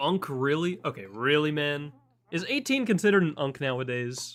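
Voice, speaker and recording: Lively intonation in an ordinary speaking voice, the pace moderate. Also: man. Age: 18. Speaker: streamer. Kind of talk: live stream reaction.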